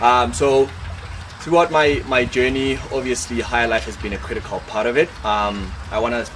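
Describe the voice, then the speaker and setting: A man with a medium pitch speaks at a moderate pace with lively intonation. Audible room echo and noticeable background noise are present. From Lesotho. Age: 20s. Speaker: scholarship graduate. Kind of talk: testimony. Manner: halting, many fillers.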